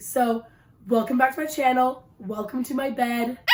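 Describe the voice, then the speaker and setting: Over noticeable background noise, a woman talks at a moderate pace in a high voice with fairly even intonation. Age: 20s. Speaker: book youtuber. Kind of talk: casual vlog. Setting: in bed.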